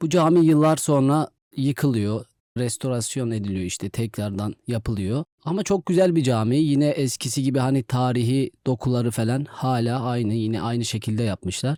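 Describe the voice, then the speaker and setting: A man's dark, mellow voice at medium pitch, with ordinary pitch variation, moderate pace, and a dry, close sound with no echo. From Van, eastern Turkey. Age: 20s. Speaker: imam. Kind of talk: interview. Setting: studio.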